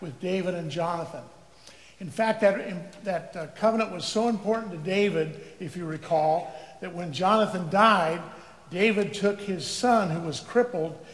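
A man's high-pitched voice at a moderate pace, with big swings in loudness and audible room echo. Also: ordinary pitch variation. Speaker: preacher. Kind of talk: sermon. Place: church.

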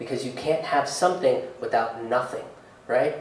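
A man talks at a fairly quick pace. Room echo is audible. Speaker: stand-up comedian. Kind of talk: live stand-up comedy set with earnest, hopeful closing message. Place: stage.

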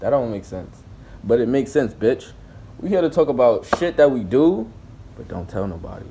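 Speaking at a fairly quick pace, a man with a dark, mellow tone swings his pitch very widely amid noticeable background noise. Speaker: comedy vlogger. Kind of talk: casual comedic vlog chat.

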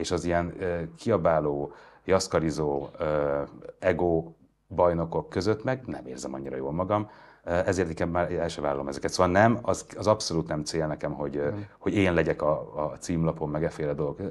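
A man speaks at a moderate pace with a very deep, low pitch. His voice has vocal fry, and the pitch varies in an ordinary way. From Hungary. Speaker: journalist, interviewer. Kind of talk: interview conversation. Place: studio.

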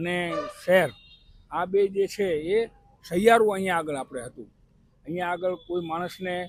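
A high-pitched man with ordinary pitch variation and big swings in loudness, over noticeable background noise. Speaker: interviewed local resident. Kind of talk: street interview.

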